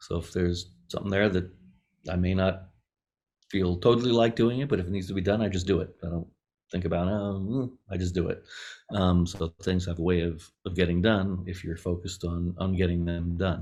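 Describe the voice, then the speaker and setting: A man with an American accent speaks at a very deep, low pitch and a fairly quick pace. His intonation is fairly even, on a very clean recording with a silent background. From Las Vegas, US. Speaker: film composer and platform founder. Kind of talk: podcast interview.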